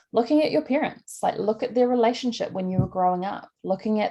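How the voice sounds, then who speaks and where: With a dark, mellow tone, a woman talks at a very fast pace using lively intonation. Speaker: life coach. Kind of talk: online workshop talk.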